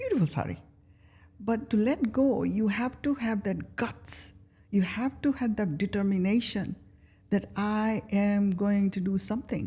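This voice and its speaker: Somewhat breathy and dark, mellow in tone, a woman's medium-pitched voice moves at a fairly slow pace with ordinary pitch variation. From Kenya. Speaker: life coach. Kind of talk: interview answer.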